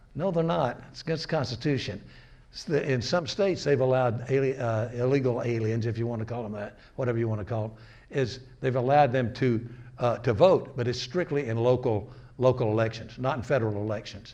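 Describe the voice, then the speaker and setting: In a dark, mellow, somewhat breathy tone, a man with an American accent talks at a fairly quick pace with ordinary pitch variation, amid audible room echo. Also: medium pitch for a man. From US North. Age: 80s+. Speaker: lecturer. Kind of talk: lecture. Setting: community gathering, recorded on camera. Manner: halting.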